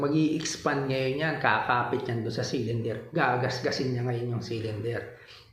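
Amid noticeable background noise and audible room echo, a man talks at a moderate pace with ordinary pitch variation. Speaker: motorcycle vlogger. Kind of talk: tutorial. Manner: casual, hesitant with fillers.

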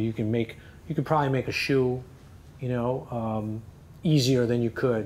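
A man with an American accent and an ordinary speaking voice, medium in pitch, fairly even in intonation, at a fairly quick pace over light background noise. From US Northeast (New Jersey). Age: 40s. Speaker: fashion consultant and former lawyer; former lawyer. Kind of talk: interview. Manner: casual, many fillers. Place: office. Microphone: lapel.

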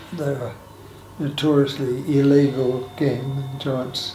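A man speaks with monotone, flat intonation. Audible room echo and light background noise surround his voice. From Sydney, Australia. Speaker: aged care resident, former lifesaver and sales career. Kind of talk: oral history interview answer. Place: home room. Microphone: camera far.

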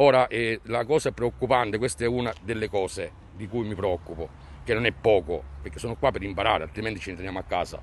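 Somewhat breathy, a man with a fairly low pitch speaks at a fairly quick pace with ordinary pitch variation. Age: 50s. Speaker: concerned parent. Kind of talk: street interview, protest statement. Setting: outdoors in front of a school.

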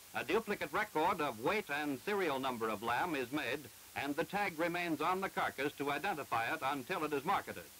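A man's fairly high, lively voice at a fairly quick pace, a normal speaking voice with very even loudness and hardly any pauses. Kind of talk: 1948 educational film narration. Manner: formal, measured, didactic; brisk and matter-of-fact, like a newsreel announcer.

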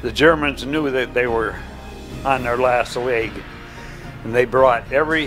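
A man with an American accent at a fairly slow pace, fairly even in intonation, with clear music in the background. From Michigan. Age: old. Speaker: war veteran. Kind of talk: interview answer. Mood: earnest, grave recollection. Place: home room. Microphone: lapel.

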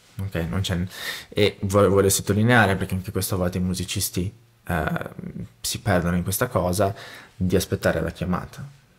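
A man's very deep, low voice at a fairly quick pace, with fairly even intonation and long, frequent pauses. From Brazil. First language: Portuguese (speaking Italian). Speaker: musician and music producer; interview guest, music teacher. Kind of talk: interview conversation. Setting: home studio. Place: studio. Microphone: studio mic.

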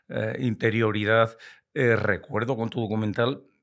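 A man's fairly low voice at a moderate pace, over a quiet background. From Spain, Castile (Valladolid); Castile, Spain. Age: 60s. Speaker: retired biologist and hunting broadcaster; podcast guest. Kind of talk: podcast interview. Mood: warm, reflective, lively. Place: studio. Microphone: studio mic.

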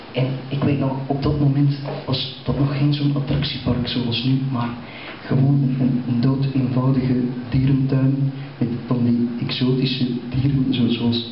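Amid light background noise and audible room echo, a man speaks at a very slow pace with monotone, flat intonation. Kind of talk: stand-up storytelling monologue. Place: stage.

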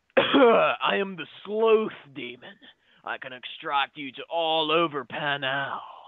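A put-on character voice at a middle pitch, delivered at a fairly slow pace. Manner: menacing, mispronouncing.

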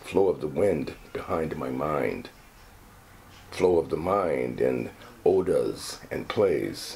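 A man's very deep, low voice at a very slow pace. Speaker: actor reading poetry. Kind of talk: reading aloud a poem, expressive stage-actor delivery. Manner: casual, chatty between poem readings. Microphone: phone near.

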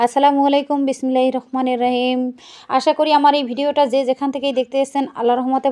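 Speaking high in pitch, a woman has a dark, mellow tone. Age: 30s. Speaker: home cooking video creator. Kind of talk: cooking tutorial vlog. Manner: chatty, conversational.

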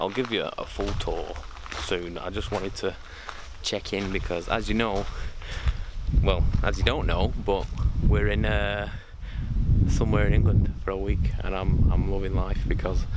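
A man with long, frequent pauses under loud background noise. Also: dry sound with no echo. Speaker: vlogger. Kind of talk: casual vlog chat. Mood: excited, happy. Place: garden. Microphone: phone near.

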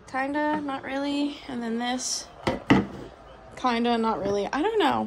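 Through loud background noise, a woman with a high pitch and ordinary pitch variation speaks at a fairly slow pace with long, frequent pauses. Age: 20s. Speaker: vlogger. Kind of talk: casual vlog talk to camera. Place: kitchen. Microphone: phone near.

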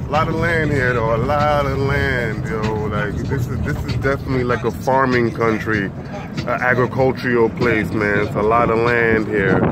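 Over loud background noise, a man speaks at a moderate pace with hardly any pauses, ordinary pitch variation and a dry sound with no echo. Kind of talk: casual vlog chat. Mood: relaxed, amused. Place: car. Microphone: phone near.

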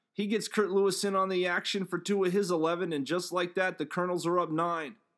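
A high-pitched man at a moderate pace on a very clean recording with a silent background. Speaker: sports broadcaster. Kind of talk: sports highlight narration, scripted recap. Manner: upbeat, punchy, playful.

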